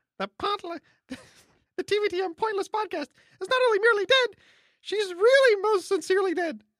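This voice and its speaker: An extremely high-pitched put-on character voice from a man, at a moderate pace with long, frequent pauses. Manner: playful.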